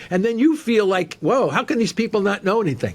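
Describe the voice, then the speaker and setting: With noticeable background noise around him, a man talks with lively intonation. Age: 70s. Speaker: cancer researcher and professor. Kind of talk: interview. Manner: halting, with many fillers and repetitions.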